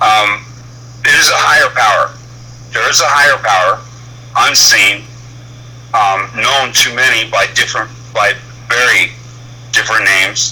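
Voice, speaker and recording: Over noticeable background noise, a man speaks at a moderate pace with very even loudness and long, frequent pauses. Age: 60s. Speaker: truck driver calling in to a show. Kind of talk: personal testimony on a call-in show. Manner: halting, with many fillers.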